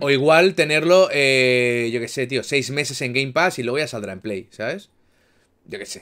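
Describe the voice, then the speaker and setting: Against a quiet background, a man with a bright, sharp tone uses ordinary pitch variation and big swings in loudness. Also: medium pitch for a man, moderate pace. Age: 30s. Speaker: gaming streamer. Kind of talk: casual chat. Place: home room.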